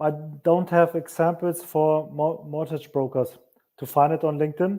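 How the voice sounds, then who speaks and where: A man with a non-native accent talks at a fairly slow pace and fairly high pitch. His intonation is monotone and flat. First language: not English. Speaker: marketing agency owner. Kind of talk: interview on a live stream.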